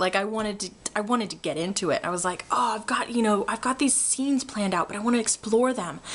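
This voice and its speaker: With noticeable background noise behind her, a woman speaks very fast in an animated tone at a fairly high pitch, her pitch varying in an ordinary way. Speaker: vlogger. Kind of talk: casual vlog update. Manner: loud, animated; hesitant fillers, um and uh.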